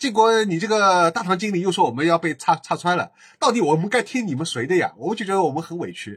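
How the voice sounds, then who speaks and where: A man speaks with a high pitch. His pace is very fast. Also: lively intonation, very clean recording, silent background. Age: 40s. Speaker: podcaster. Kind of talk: casual monologue.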